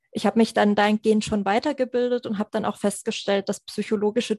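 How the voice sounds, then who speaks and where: A woman's medium-pitched voice, very fast and monotone with flat intonation, dark and mellow in tone, with a dry, close sound free of echo and a quiet background. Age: 20s. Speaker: psychologist and finance coach. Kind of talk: podcast interview.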